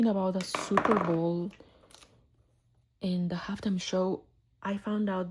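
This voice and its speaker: A somewhat breathy woman's voice at medium pitch, fairly slow and with fairly even intonation. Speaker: art vlogger. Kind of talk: casual chat. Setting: home art studio. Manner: soft-spoken; halting.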